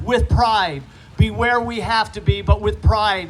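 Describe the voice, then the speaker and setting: Talking fairly slowly, a man is heard with music behind him. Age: 60s. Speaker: politician. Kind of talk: speech at a rally. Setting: outdoors park event with audience.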